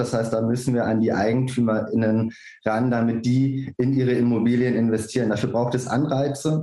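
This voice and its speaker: A man talks at a fairly quick pace in a monotone, flat intonation. His medium-pitched voice has a dark, mellow tone. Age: 30s. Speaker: political candidate. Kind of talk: panel discussion.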